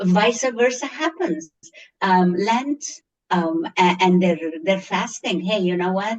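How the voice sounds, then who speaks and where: Fairly slow speech from a woman at medium pitch, with ordinary pitch variation and a strong Egyptian accent. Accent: thick Egyptian. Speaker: schoolteacher. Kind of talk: interview. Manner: animated.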